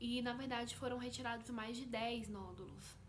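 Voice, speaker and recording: With audible room echo and noticeable noise behind her, a woman talks at a moderate speed. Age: 20s. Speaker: vlogger. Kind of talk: personal testimony vlog.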